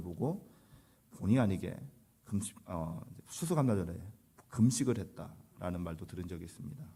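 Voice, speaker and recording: Fairly quick in pace, a man's speech carries a dark, mellow tone. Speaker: pastor. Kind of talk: sermon.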